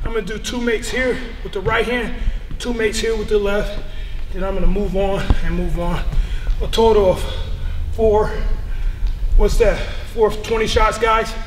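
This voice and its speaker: Long, frequent pauses break up a man's speech, heard with audible room echo and light background noise. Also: moderate pace. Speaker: basketball trainer. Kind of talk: tutorial. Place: gym.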